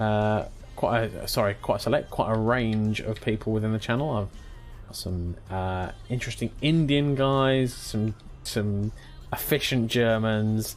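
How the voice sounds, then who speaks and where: The speaker goes at a fairly slow speed while music sounds behind the voice. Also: man, medium pitch for a man, ordinary pitch variation. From England, Norfolk. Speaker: video game streamer. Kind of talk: live gameplay stream chat. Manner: casual, chatty.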